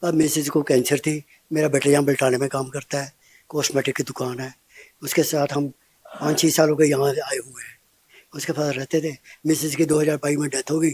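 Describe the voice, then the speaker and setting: This man's voice is somewhat breathy and fairly high in pitch, delivered at a moderate pace with monotone, flat intonation. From Punjab, India (Patiala district). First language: Punjabi (speaking Hindi). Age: 70s. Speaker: old age home resident, social worker. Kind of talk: interview.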